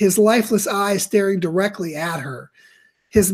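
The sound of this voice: Fairly even intonation from an unforced reading voice, with a quiet background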